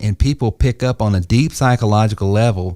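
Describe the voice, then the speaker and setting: A man with a Southern US accent speaks at a moderate pace. The recording is very clean, with a silent background. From US South. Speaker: entrepreneur and sales coach. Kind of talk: podcast panel discussion. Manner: conversational, with fillers.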